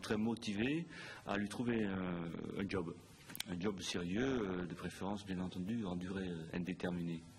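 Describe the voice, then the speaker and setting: This man talks fairly slowly. Ordinary variation runs through his pitch. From Netherlands. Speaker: hotel group operations director. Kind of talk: interview. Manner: hesitant, many fillers.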